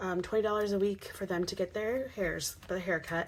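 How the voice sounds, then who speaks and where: A woman keeps a moderate pace, speaking in a medium pitch with fairly even intonation. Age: 30s. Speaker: personal finance vlogger. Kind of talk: casual budgeting tutorial. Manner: hesitant with many fillers.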